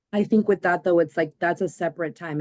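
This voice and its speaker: A woman's fairly low voice with a Spanish accent, fairly quick and fairly even in intonation, in a dry, close sound with no echo. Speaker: committee member. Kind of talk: committee meeting discussion.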